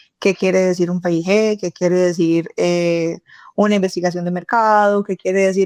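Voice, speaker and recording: A woman talks at a moderate pace against a quiet background. The sound is dry and close, with no echo. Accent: Cali. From Colombia, Cali. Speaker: tech company CEO and co-founder. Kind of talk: podcast interview.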